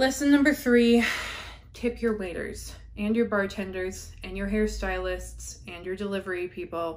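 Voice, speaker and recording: A woman is speaking at a moderate pace. Her pitch variation is ordinary. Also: medium pitch for a woman, big swings in loudness. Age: 20s. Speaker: beauty vlogger. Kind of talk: casual monologue while doing makeup. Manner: chatty, laughing. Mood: warm, reflective. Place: home room.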